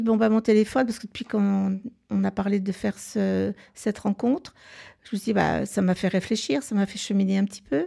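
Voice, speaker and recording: A woman at a fairly quick pace, with medium pitch, fairly even intonation and a dark, mellow tone. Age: 70s. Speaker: guest with a personal question. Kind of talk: casual conversation, personal testimony. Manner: hesitant, halting.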